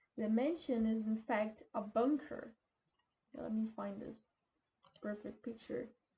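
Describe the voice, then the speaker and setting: A woman with a non-native accent speaks at a fairly high pitch, her voice somewhat breathy. She moves at a fairly slow pace, with long, frequent pauses. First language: not English. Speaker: YouTuber. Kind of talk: casual explainer, partly reading aloud. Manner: halting.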